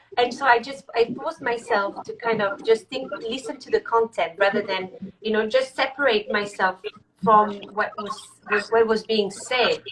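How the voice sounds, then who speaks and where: Speaking with a French accent, a woman uses a fairly high pitch with ordinary pitch variation. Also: moderate pace, big swings in loudness. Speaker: executive coach. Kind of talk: live video interview. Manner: halting.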